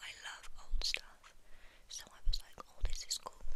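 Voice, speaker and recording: Whispering in a British accent at a fairly slow pace, the voice has a gentle tone over noticeable background noise. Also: woman. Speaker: ASMR creator. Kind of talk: ASMR ramble. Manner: gentle whispering.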